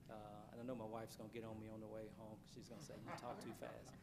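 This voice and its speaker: A man's medium-pitched voice at a very fast pace, with audible room echo and noticeable background noise. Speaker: university president. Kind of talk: formal presentation. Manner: halting with fillers.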